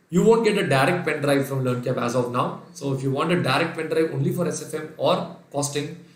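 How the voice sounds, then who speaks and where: A man with an Indian accent talks at a fairly quick pace in a fairly high pitch. There is noticeable background noise and audible room echo. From India, Kerala (Calicut). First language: Sindhi. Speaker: accounting lecturer. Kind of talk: online lecture. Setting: live online class.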